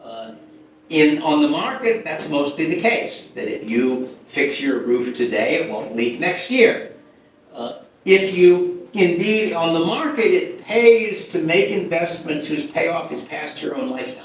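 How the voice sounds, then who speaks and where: Very wide pitch swings come at a fairly slow pace, with audible room echo and noticeable background noise. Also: man, high pitch for a man, big swings in loudness. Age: 80s+. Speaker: economist giving a lecture. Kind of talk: lecture. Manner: halting, with many repetitions and fillers.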